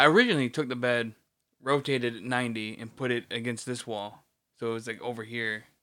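Recorded very cleanly over a silent background, a man at medium pitch talks very fast in a bright, sharp tone, his intonation fairly even but his loudness swinging widely. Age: 30s. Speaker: podcast co-host. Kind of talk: casual chat. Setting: bedroom in a new apartment.

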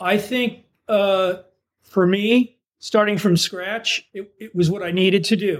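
A man's high voice with an American accent and big swings in loudness. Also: fairly even intonation, fairly slow pace. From US East Coast. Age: 70s. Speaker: novelist. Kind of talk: interview. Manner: halting, many fillers.

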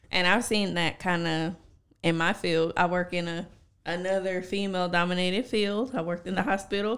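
A woman has a plain, everyday voice at a medium pitch. She keeps a moderate pace and fairly even intonation. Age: 20s. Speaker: podcast co-host and teacher. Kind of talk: casual chat.

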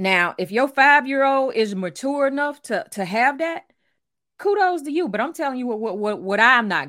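Bright and sharp in tone, a woman with a Louisiana accent speaks in a high voice with very wide pitch swings and big swings in loudness. The recording is very clean, with a silent background. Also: fairly quick pace. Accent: Southern US, Louisiana. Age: 40s. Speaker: author and life coach. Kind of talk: casual chat.

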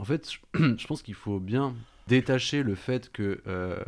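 A man's voice with ordinary pitch variation, in a very clean recording over a silent background. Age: 20s. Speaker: vocational sales teacher. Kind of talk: radio panel discussion.

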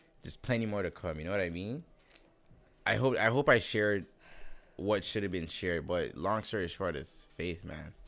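This man talks at a moderate pace in a fairly low pitch, with long, frequent pauses. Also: ordinary pitch variation. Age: 20s. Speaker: barber shop owner. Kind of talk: casual chat. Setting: barber shop, filmed.

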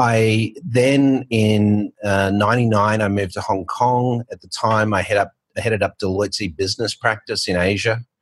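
Speaking at a fairly slow pace with an Australian accent, a man uses a fairly low pitch and fairly even intonation in a dry, close sound with no echo. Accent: Australian, retained despite years abroad. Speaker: fintech founder and author. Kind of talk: casual interview chat.

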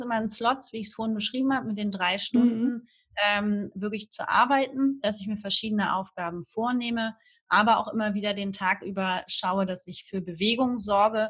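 With a normal speaking voice, a woman talks at a moderate pace, her fairly high pitch showing ordinary variation. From northern Germany, Hamburg. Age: 30s. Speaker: Instagram marketing freelancer, emigrant. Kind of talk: casual interview.

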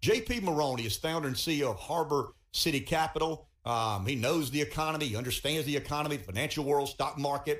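A man with a Southern US accent, fairly high-pitched, very fast, with ordinary pitch variation. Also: hardly any pauses. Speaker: radio talk show host. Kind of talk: radio interview. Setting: radio studio.

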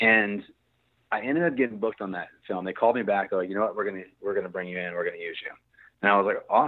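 In an American accent, a man talks at a very fast pace with a fairly low pitch. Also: ordinary pitch variation. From Virginia, US. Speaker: filmmaker and musician. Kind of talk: casual interview chat.

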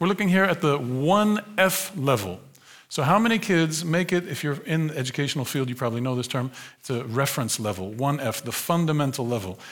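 The man talks at a fairly quick pace, his pitch swinging very widely. Room echo is audible. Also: fairly high pitch for a man. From United States. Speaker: sociologist. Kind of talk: lecture. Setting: stage with audience. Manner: animated.

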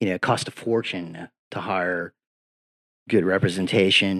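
Fairly even intonation with an American accent. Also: man. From Virginia Beach, Virginia, US. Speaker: former state legislator. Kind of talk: casual chat. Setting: studio.

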